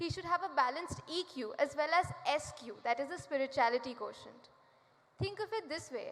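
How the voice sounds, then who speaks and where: A woman's high voice at a moderate pace, with noticeable background noise. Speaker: student speaker. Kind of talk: prepared speech. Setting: stage with audience.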